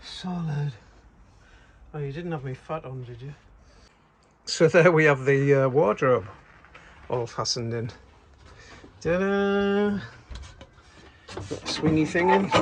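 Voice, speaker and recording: A man with lively intonation talks fairly slowly in a somewhat breathy voice, his loudness swinging widely between long, frequent pauses. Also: fairly high pitch for a man. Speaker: van conversion vlogger. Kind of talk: casual DIY vlog. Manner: quiet.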